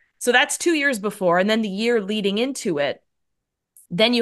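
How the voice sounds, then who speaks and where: A woman with a Canadian accent has an unremarkable speaking voice, a medium pitch and lively intonation, talking at a moderate pace over a quiet background. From Canada. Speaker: endurance cyclist. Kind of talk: casual interview.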